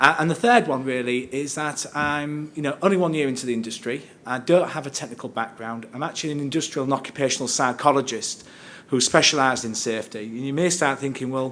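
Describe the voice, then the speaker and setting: Very fast speech from a man at a medium pitch, with fairly even intonation and audible room echo. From northern England, Hull. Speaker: safety director and occupational psychologist. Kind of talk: conference presentation. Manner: conversational, hesitant with fillers.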